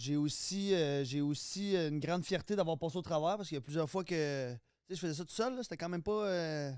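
A man speaks in a Quebec accent at a fairly quick pace with ordinary pitch variation. The recording is very clean, with a silent background. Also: fairly high pitch for a man. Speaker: guest, former reality TV contestant. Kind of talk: casual chat.

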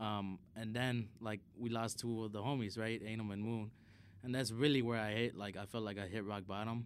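With a Chicago accent, a man speaks at medium pitch and a moderate pace. His intonation stays monotone and flat. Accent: Chicago American English. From Chicago, US Midwest (South Side). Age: 20s. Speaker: DJ and event manager. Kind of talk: casual chat.

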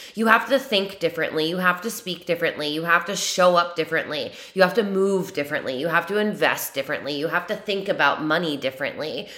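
A woman with a fairly low pitch talks very fast in an animated tone, with ordinary pitch variation, hardly any pauses and noticeable background noise. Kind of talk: pep talk. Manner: animated, emphatic and motivational, with direct 'you' address.

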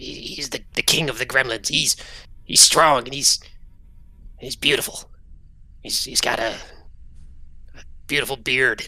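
Pitched low-to-middle, this put-on character voice stops often for long pauses. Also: fairly slow pace. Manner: fawning over his boss; scared, whiny, rambling.

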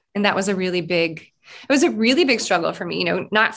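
A woman's medium-pitched voice at a moderate pace, on a very clean recording with a silent background. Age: 40s. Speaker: podcast host, business coach. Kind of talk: interview.

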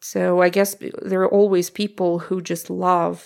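A woman speaks with a Russian accent on a very clean recording with a silent background. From Russia (Omsk, Siberia). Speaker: language teacher and podcaster. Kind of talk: interview conversation.

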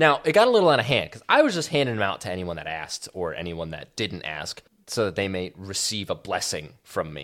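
With hardly any pauses, the speech runs at a fairly quick pace in an animated tone, with very wide pitch swings and big swings in loudness. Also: man, fairly low pitch for a man. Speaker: podcast co-host. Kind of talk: casual chat.

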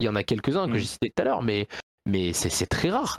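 In a very clean recording with a silent background and a dry, close sound with no echo, a man's pitch swings very widely. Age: 20s. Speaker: video game producer and programmer. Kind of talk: casual chat. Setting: live stream.

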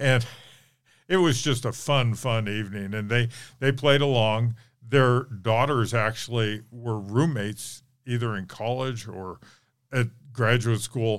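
A man with an American accent speaks at medium pitch and a fairly slow pace, with long, frequent pauses. The recording is very clean, with a silent background. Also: fairly even intonation. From Reno, Nevada. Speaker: historical reenactor and local historian. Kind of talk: interview.

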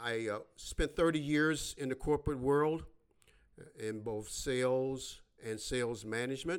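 Ordinary pitch variation marks this man's medium-pitched voice. He has an American accent and talks at a fairly slow pace. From US Midwest, west side of Chicago. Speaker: political podcaster, Navy veteran. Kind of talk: solo political monologue. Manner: halting, many fillers; blunt, direct.

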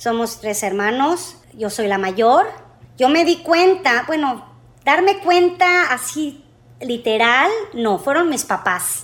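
Her high voice swings very widely in pitch as the woman speaks at a very slow pace. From Mexico. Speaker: airline customer service agent. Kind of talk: interview.

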